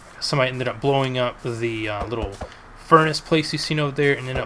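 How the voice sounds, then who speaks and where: A medium-pitched man talking at a fairly quick pace, ordinary pitch variation, noticeable background noise. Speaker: gaming YouTuber. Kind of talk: gameplay commentary. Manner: halting, stumbles on words; casual with many fillers.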